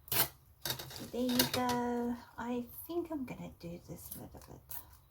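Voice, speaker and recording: Against noticeable background noise, a woman speaks very slowly with lively intonation and big swings in loudness. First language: Afrikaans. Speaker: art journaling creator. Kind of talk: casual tutorial. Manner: hesitant, many fillers.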